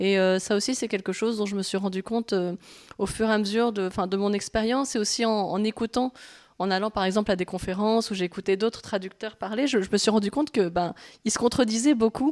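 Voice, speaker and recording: Her delivery comes at a very fast pace with fairly even intonation. The woman's sound is dry and close, with no echo. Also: medium pitch for a woman. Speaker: manga translator. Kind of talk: public talk interview. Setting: library event with live audience. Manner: halting, many hesitations.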